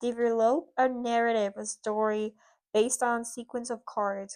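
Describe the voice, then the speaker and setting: A woman speaks with a fairly high pitch. Her background is quiet. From Puerto Rico. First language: Spanish. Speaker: lifestyle vlogger. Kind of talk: tutorial. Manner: halting.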